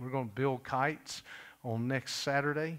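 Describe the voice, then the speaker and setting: A man's fairly slow speech with ordinary pitch variation. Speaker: pastor making announcements. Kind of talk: church announcements. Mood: warm, joking. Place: church. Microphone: podium.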